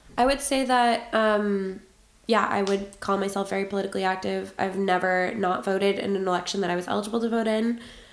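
Speaking at a fairly quick pace with fairly even intonation, a woman's medium-pitched voice carries audible room echo. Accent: American. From Boston, US. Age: 20s. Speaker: policy analyst, American expat interviewee. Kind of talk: interview answers.

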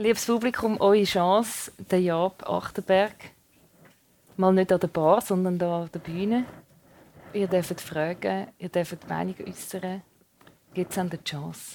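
Very slow with long, frequent pauses, a woman in a Swiss accent speaks at medium pitch with fairly even intonation. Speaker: radio host. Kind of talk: interview before live audience. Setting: stage with audience.

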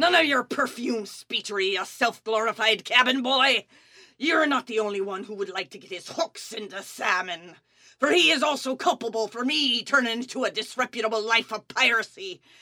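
At a moderate pace, a female-sounding voice performs a put-on character voice pitched fairly high for a woman, on a very clean recording with a silent background. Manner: feisty, scornful.

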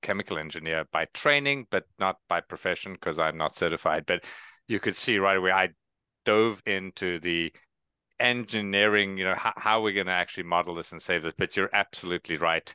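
In a South African accent, a man talks at a fairly quick pace with a very deep, low pitch and a bright, sharp tone. The sound is dry and close with no echo, against a quiet background. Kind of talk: casual professional discussion.

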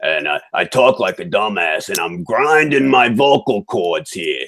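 A man does a gravelly, put-on character voice. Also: medium pitch for a man, fairly slow pace. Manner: dumb, sluggish.

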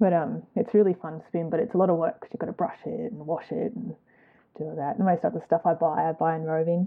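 Speaking very fast with an Australian accent, a woman has a fairly low pitch and ordinary pitch variation. Her loudness swings widely. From Queensland, Australia (Gold Coast), born in New Zealand. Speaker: knitter, spinner and small fibre business owner. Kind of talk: casual chat interview.

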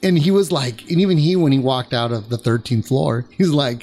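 A man with a Californian accent, lively intonation and a moderate pace. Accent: Californian American English. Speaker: podcast host. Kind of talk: casual chat. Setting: studio. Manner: animated.

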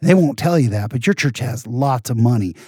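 On a very clean recording with a silent background and a dry, close, echo-free sound, a man with an American accent talks at a fairly quick pace, his dark, mellow, somewhat breathy voice sitting at medium pitch with ordinary pitch variation. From San Jose, California. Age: 40s. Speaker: podcast host and stand-up comedian. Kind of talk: casual interview, telling stories.

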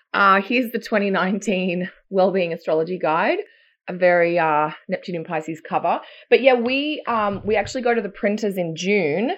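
With an Australian accent, a woman talks at a moderate pace in a medium-pitched voice with ordinary pitch variation. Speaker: astrologer. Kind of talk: casual chat. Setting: video call.

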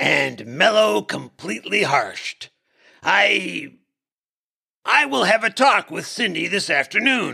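A man performs a put-on character voice, pitched high. He goes at a fairly slow pace with long, frequent pauses. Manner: relaxed, breezy, wry.

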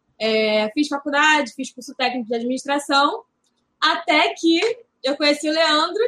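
A woman's high voice comes through in a bright, sharp tone. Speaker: retail consultant. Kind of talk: casual chat.

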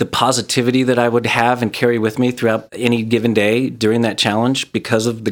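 This man talks at a fairly quick pace. He has a normal speaking voice at medium pitch. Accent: American. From Southern California (Glendale) and Utah. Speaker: real estate agent, gratitude video creator. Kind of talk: casual interview.

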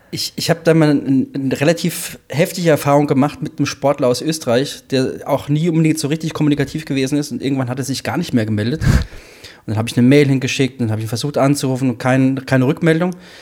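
This man talks at a very fast pace with fairly even intonation. His pitch is fairly high, and there is noticeable background noise. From Hesse. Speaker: triathlon coach. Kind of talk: casual chat.

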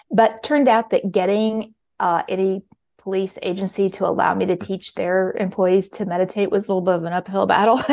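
A woman with a plain, everyday voice and an American accent speaks at medium pitch and a fairly quick pace with fairly even intonation. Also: quiet background. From Kansas City, Missouri. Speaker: mindfulness teacher and author. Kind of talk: interview.

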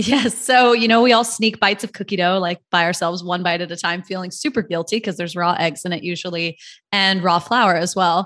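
Against a quiet background, a woman with a normal speaking voice talks at a fairly quick pace and medium pitch, with ordinary pitch variation and hardly any pauses. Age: 30s. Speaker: company founder. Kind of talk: interview.

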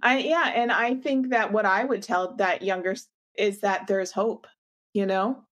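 Pausing long and often, a woman speaks at a fairly slow pace in a fairly high pitch with ordinary pitch variation. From Canada. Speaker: podcast host, physical therapist. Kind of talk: casual interview.

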